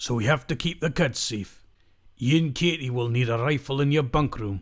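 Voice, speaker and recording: Using a raspy put-on character voice, a man speaks at medium pitch and a moderate pace with ordinary pitch variation, recorded very cleanly against a silent background. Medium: audio drama.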